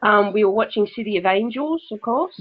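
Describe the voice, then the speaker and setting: Her pitch sits fairly high. This woman talks with an Australian accent. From Australia (Brisbane, Queensland). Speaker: spiritual writer and medium. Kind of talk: interview.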